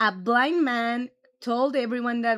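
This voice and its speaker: A woman speaks with a strong Mexican accent. Her pitch is fairly high. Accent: Mexican Spanish accent, thick. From Mexico. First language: Spanish. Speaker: streamer. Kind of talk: casual chat. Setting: live stream.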